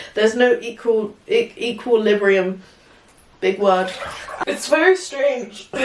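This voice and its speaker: Over noticeable background noise, a woman with an English accent talks very slowly at a fairly high pitch, with lively intonation and long, frequent pauses. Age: 20s. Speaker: vlogger. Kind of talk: casual chat. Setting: in the bath. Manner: talkative.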